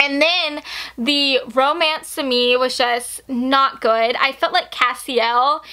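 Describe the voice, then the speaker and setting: Raising and projecting her voice, a woman speaks at a high pitch with a bright, sharp tone and fairly even intonation. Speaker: booktuber. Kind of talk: casual book review.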